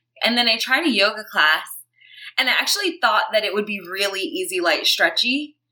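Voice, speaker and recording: With an American accent, the speaker moves at a fairly quick pace through very wide pitch swings. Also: woman, fairly high pitch for a woman. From Brooklyn, New York. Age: 30s. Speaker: yoga teacher and activist. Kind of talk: interview.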